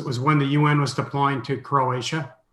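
A man with a medium-pitched voice talks at moderate speed amid audible room echo. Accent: American. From US Midwest (Minneapolis). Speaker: mission organization president and author. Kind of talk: interview.

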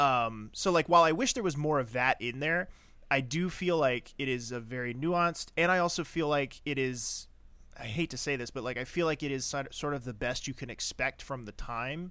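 The recording is very clean with a silent background, and a man with a fairly high pitch talks at a moderate pace. He has an unremarkable speaking voice with ordinary pitch variation. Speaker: podcast co-host. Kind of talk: casual chat.

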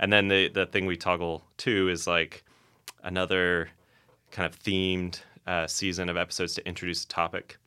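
A man with an American accent speaks in a very deep, low pitch and a bright, sharp tone. His delivery is flat and monotone at a moderate pace, on a very clean recording with a silent background. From Florida (Orlando). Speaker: philosophy professor. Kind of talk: casual chat.

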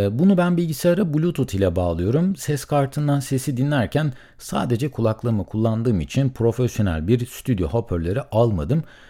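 At a medium pitch and moderate pace, a man speaks in a somewhat breathy voice with a dark, mellow tone, very wide pitch swings, very even loudness and hardly any pauses, in a very clean recording with a silent background. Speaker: solo podcaster. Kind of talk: solo monologue about podcasting costs. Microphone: studio condenser mic with pop filter.

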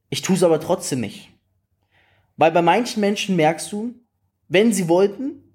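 A man speaks with a high pitch, an animated tone and very wide pitch swings. His pace is fairly slow, in a very clean recording with a silent background. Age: 20s. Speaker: network marketing coach. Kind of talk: motivational talk.

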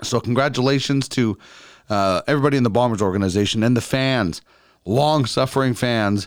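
A man with a Canadian Prairies accent talks at a fairly quick pace. The recording is very clean with a silent background. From Brandon, Manitoba, Canada. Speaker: podcast host. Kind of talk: casual interview chat; podcast intro with sponsor read.

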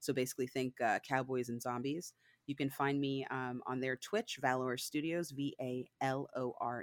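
A woman with a slight northern US accent talks at a moderate pace in a very deep, low pitch. The recording is very clean with a silent background and a dry, close sound with no echo. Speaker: book club co-reader. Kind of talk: casual chat.

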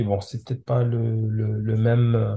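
Somewhat breathy, a man's voice sits at a medium pitch with a dark, mellow tone. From France, Comorian parents. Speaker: software engineer and parent. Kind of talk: podcast interview. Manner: halting.

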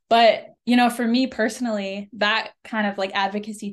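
A woman with an American accent and a normal speaking voice, medium in pitch, at a moderate pace and fairly even intonation, over a quiet background. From Oklahoma, US. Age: 20s. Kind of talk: interview. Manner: casual, many fillers.

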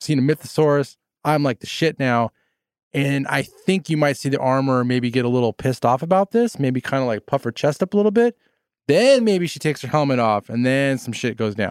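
A man speaks at a fairly quick pace and fairly high pitch, in an animated tone with lively intonation. The recording is very clean with a silent background, with a dry, close sound and no echo. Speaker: podcast host. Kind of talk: casual chat, opinionated review. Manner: animated, opinionated, flustered.

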